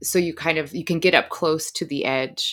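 Vocal fry runs through a woman's moderately paced speech, captured on a very clean recording with a silent background. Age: 30s. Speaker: author. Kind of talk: interview.

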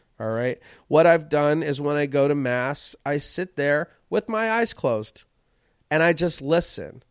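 An animated man speaks at a fairly slow pace and fairly high pitch with ordinary pitch variation. The sound is dry and close with no echo, recorded very cleanly over a silent background. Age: 40s. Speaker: comedian. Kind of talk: casual monologue.

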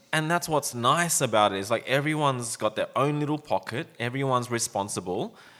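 A man talks at a fairly quick pace with an Australian accent. His medium pitch moves in lively intonation. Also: hardly any pauses. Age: 40s. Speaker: podcast host, brand owner. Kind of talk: casual chat. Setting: studio with microphones.

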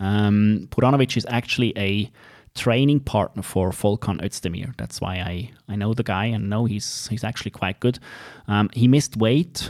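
A man with a Swiss accent, fairly low in pitch, at a moderate pace with ordinary pitch variation. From Switzerland. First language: not English (Swiss). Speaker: MMA podcast host. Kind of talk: casual chat about MMA events.

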